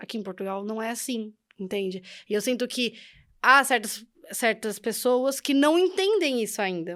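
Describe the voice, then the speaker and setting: The recording is very clean, with a silent background. A woman speaks at a moderate pace in a fairly high pitch. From Brazil. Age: young. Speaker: podcast guest, immigrant. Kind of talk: interview.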